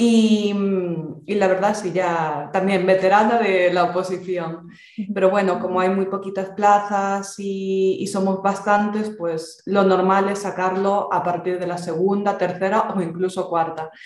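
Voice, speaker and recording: In a Galician accent, a woman speaks at a fairly slow pace in a flat, monotone medium pitch, with audible room echo. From Galicia, Spain. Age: 20s. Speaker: exam candidate. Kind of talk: interview. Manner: talkative.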